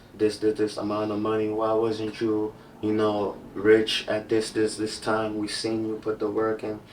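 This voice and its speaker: A man speaks with an African accent at a moderate pace. His pitch sits fairly low. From Cameroon. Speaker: music industry label rep. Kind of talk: casual podcast interview.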